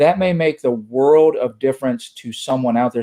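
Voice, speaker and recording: A man's fairly high, dark, mellow voice in an American accent. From US East Coast. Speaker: church security trainer, former police officer. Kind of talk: online presentation. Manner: fast.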